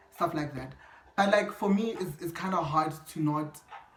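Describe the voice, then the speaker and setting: A fairly slow pace against noticeable background noise. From South Africa, North West (Mahikeng). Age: 20s. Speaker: YouTuber. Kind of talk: casual chat.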